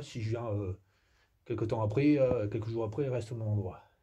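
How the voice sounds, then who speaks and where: Somewhat breathy and medium-pitched, a man talks at a fairly quick pace with ordinary pitch variation. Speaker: amateur naturalist. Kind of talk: nature walk vlog. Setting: outdoors, in a cave. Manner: soft-spoken; hesitant.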